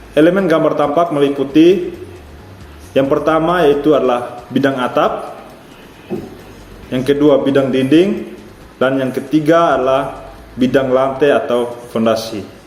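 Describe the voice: A man's medium-pitched, slightly mellow voice at a fairly slow pace with fairly even intonation and audible room echo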